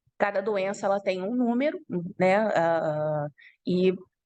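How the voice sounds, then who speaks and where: The sound is dry and close, with no echo. A woman speaks at a fairly low pitch with ordinary pitch variation. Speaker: university lecturer. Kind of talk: online lecture.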